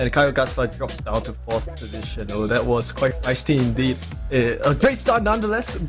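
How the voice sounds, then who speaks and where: A man speaks in an energetic, excited tone at a fairly quick pace. Music plays in the background. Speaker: sim racing commentator. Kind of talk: sim racing play-by-play commentary. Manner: fast, energetic, excited.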